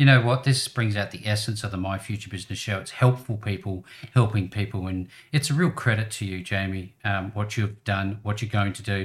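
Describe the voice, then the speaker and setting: Somewhat breathy and fairly low in pitch, a man speaks at a fairly quick pace with ordinary pitch variation. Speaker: podcast host. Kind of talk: casual interview. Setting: video call.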